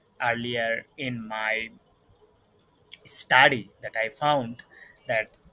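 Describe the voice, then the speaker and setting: Over music in the background, a man with a medium pitch speaks in fairly even intonation. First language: not English. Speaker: content creator. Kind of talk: vlog monologue. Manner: halting, many fillers.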